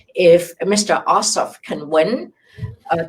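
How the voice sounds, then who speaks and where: The woman's voice is somewhat breathy. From immigrant to the US. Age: 70s. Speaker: immigration lawyer. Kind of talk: live Q&A interview.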